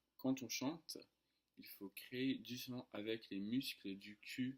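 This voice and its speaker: Very slow speech in an English accent. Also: man. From United States. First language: English (speaking French). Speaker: French tutor. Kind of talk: casual vlog storytelling. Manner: hesitant, many fillers.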